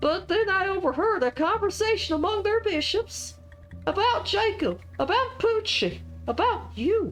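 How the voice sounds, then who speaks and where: An extremely high, put-on character voice moves at a moderate pace, with clear music in the background. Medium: game stream. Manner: rambling, stammering.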